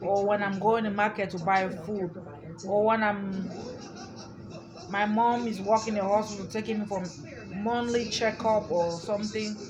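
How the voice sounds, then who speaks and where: The intonation is monotone and flat. Noticeable background noise and audible room echo fill the recording. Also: woman. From Africa. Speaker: YouTuber. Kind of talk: casual vlog monologue. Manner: repetitive, halting.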